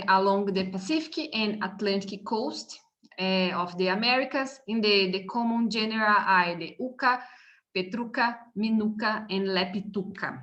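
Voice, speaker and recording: A woman talks at a fairly slow pace with a Brazilian Portuguese accent and a bright, sharp tone. Her pitch sits in the medium range and varies in an ordinary way. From Brazil, São Paulo. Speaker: university professor. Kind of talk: seminar lecture. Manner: halting, many hesitations.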